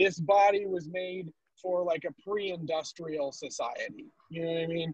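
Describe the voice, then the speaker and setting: This man's voice is loud and high-pitched, with fairly even intonation. He keeps a moderate pace in a dry, close sound with no echo. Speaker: stand-up comedian. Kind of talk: stand-up. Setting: video call from his car.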